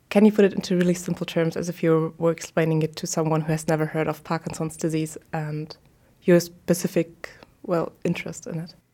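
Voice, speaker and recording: A woman speaks with a fairly low pitch. Her intonation is monotone and flat. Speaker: podcast host. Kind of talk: casual interview.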